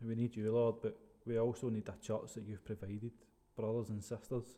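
In a Scottish accent, a man talks at a fairly quick pace with a dark, mellow tone. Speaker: podcast host. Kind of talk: casual interview.

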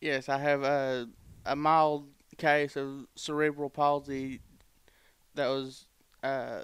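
A man's very slow, monotone voice with an Alabama accent, fairly high-pitched and flat, in a very clean recording with a silent background. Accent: US Southern (Alabama). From Alabama, Cherokee County. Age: 20s. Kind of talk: casual chat.

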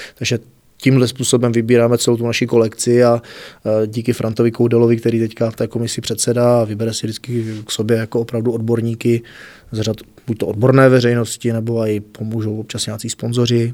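Very fast speech comes from a man with a medium pitch and a dark, mellow tone. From Czech Republic, South Moravia (Znojmo). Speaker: music festival organizer and teacher. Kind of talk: interview. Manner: animated.

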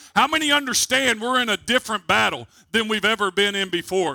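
A raised, projected voice with a bright, sharp tone goes at a very fast pace, with ordinary pitch variation and a dry, close sound with no echo. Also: man. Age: 40s. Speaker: preacher. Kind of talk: sermon. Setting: church. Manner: animated.

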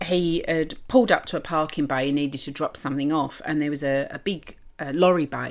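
A woman in an East London accent speaks with a very deep, low pitch and ordinary pitch variation at a fairly quick pace. The recording is very clean against a silent background. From East London, England; lives in Adelaide, Australia. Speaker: podcast co-host. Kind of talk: casual, slangy. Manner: chatty, long-winded storyteller.

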